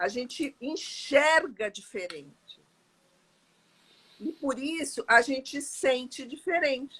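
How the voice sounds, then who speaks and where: With a raised, projected voice, a woman talks at a very slow pace in a high pitch and a bright, sharp tone. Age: 60s. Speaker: interview guest sharing life story. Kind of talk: testimony in casual interview.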